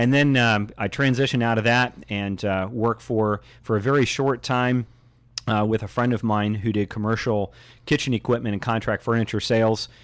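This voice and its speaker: A man's plain, everyday voice with an American accent, medium in pitch, at a moderate pace with fairly even intonation. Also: very clean recording, silent background. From Indianapolis, Indiana. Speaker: realtor. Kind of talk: radio interview.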